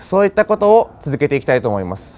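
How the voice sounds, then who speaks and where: The man speaks with a fairly high pitch. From Japan. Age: 20s. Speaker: customer testimonial speaker; speaker. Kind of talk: testimony. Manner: hesitant, frequent fillers. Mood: earnest, motivational. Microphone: lapel.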